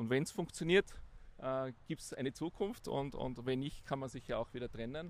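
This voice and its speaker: The clip features a man speaking at a medium pitch. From Austria, Tyrol (Innsbruck). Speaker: business executive. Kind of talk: interview. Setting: outdoors.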